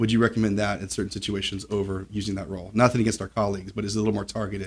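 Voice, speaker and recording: The speaker talks at a very fast pace in a monotone, flat intonation, sounding somewhat breathy. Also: man, fairly low pitch for a man. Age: 40s. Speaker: podcast host and family lawyer. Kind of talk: casual interview.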